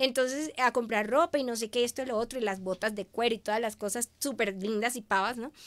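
The pace is fairly quick, with hardly any pauses. Intonation stays fairly even. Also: woman, fairly high pitch for a woman. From Venezuela. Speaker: media communicator; guest. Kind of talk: interview. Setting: live stream. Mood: warm, emotional storytelling. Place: studio. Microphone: studio mic.

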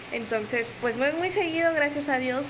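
A woman's high-pitched voice at a fairly quick pace, with ordinary pitch variation and noticeable background noise. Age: 20s. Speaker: vlogger, single mother; vlogger. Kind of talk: casual vlog talk to camera. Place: home room. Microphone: phone near.

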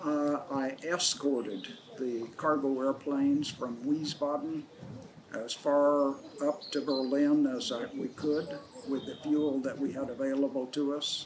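Amid noticeable background noise, a man talks at a fairly slow pace with fairly even intonation. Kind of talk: interview answer. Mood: calm, reflective. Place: open country.

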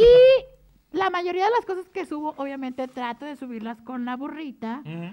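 A woman's animated, high-pitched voice with very wide pitch swings and hardly any pauses. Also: moderate pace. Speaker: drag performer and mascot character. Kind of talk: casual chat. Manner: switches between character voice and normal voice.

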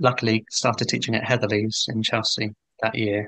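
Against a quiet background, a man with a southern English accent speaks at a moderate pace in a dry sound with no echo. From England, Hertfordshire. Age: 40s. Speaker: painter. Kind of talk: interview conversation. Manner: hesitant, many fillers. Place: home room. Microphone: video call.

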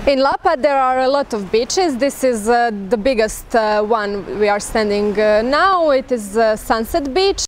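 At a moderate pace, a woman with a high pitch speaks in a dry recording with no echo and light background noise. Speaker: local guide. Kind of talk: casual travel vlog talk. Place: beach.

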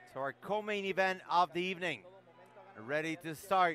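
A man speaks at a moderate pace. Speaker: play-by-play commentator. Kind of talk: live fight commentary, excited race-call style. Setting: live event, cage-side.

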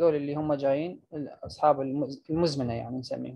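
Someone with an Iraqi accent talks at a fairly quick pace. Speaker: medical lecturer. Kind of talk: lecture.

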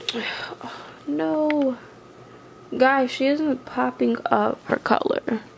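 A woman speaks at a very slow pace with long, frequent pauses. Noticeable background noise sits behind her. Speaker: reborn doll youtuber. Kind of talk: casual vlog talk to camera. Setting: home, on tripod camera. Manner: rambling with fillers.

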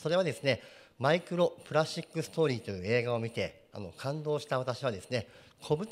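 His pitch leaps up and down over a very wide range. The voice is male. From Japan, Yokohama; Japan. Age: 40s. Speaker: company president; guest. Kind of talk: presentation. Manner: formal. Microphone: handheld.

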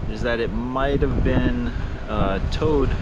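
A man's voice against loud background noise. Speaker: family travel vlogger. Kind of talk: casual vlog chat. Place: garden. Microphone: phone near.

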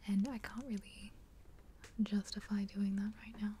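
A woman with an Australian accent whispers. Her voice is soft-spoken and somewhat breathy. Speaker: ASMR creator. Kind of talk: ASMR soft-spoken show and tell. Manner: soft-spoken, whispered. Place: home room.

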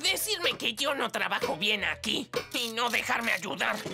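In a put-on character voice, a woman speaks at a fairly slow pace with a fairly high pitch, big pitch swings, vocal fry and a bright, sharp tone while faint music plays in the background.

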